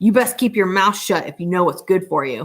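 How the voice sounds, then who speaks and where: This is a put-on character voice with a growling sound. It sits at a middle pitch and moves at a fairly quick pace. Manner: menacing, through clenched teeth.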